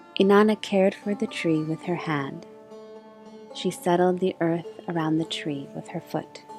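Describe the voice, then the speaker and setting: Pitch shifts with ordinary variation. Music runs in the background. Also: woman, fairly low pitch for a woman. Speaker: storyteller and voice actor. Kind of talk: soft story reading of a myth with music. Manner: soft-spoken, slow.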